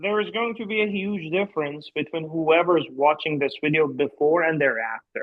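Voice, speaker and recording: This man's delivery is moderately paced. His pitch shifts an ordinary amount. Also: fairly high pitch for a man, hardly any pauses. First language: not English. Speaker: researcher, co-host. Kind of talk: casual chat.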